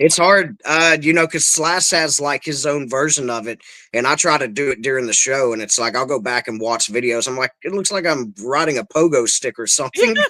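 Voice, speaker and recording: With a Kentucky accent, a man speaks at a fairly quick pace with hardly any pauses, his fairly high pitch, bright, sharp tone and ordinary pitch variation captured in a very clean recording with a silent background. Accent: Kentucky Southern. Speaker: guitarist and songwriter. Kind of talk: casual chat.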